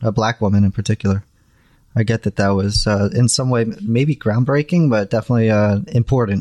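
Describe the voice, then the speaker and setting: Recorded with a dry, close sound and no echo, a man speaks in an unremarkable speaking voice. His pitch is medium with ordinary variation, and his pace is fairly quick. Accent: American. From New Jersey, US. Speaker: graphic designer, new Star Trek viewer. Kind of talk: casual chat.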